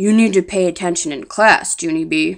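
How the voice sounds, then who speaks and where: In a very clean recording with a silent background, a woman uses a raspy, put-on character voice at medium pitch, with ordinary pitch variation and a moderate pace. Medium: read story. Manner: calm, measured.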